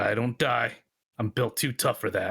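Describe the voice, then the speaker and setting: Putting on a raspy character voice, a man talks at a moderate pace and a medium pitch. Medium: actual play. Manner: blunt, terse.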